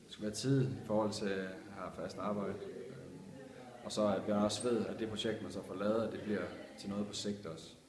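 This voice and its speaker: With audible room echo and noticeable background noise, a man speaks at a moderate pace in a fairly low pitch and fairly even intonation. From Denmark, Vejle. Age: 30s. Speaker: youth advisory board member. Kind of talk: interview. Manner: halting.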